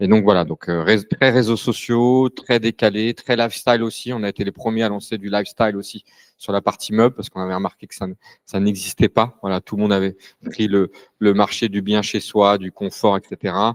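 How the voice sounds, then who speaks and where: Loudness rises and falls sharply as a man with a fairly low pitch and fairly even intonation speaks at a fairly quick pace, the sound dry and close with no echo. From France (Paris). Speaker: furniture brand co-founder. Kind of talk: panel talk. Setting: live event with audience. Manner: hesitant, many fillers.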